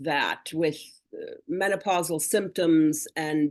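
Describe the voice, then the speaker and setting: A woman speaks fairly slowly, and the background is quiet. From northern Germany. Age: 60s. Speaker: wellness product customer. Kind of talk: testimony.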